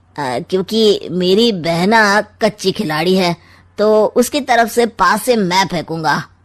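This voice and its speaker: Using a cartoonish character voice, a woman speaks very slowly with lively intonation and a medium pitch. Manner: sly, mocking.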